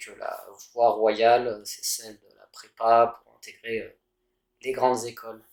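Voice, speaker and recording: The intonation is monotone and flat. It comes from a man. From France, Paris. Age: 30s. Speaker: engineer. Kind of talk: interview. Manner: hesitant with fillers.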